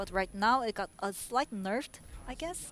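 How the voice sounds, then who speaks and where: With a non-native accent, a woman talks at a fairly slow pace. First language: not English. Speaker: esports commentator. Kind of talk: live commentary. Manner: animated.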